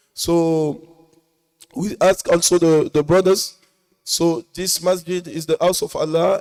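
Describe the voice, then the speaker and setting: With a French accent, a man speaks at a high pitch with fairly even intonation, recorded dry and close with no echo. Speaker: mosque speaker. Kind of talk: sermon summary. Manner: halting.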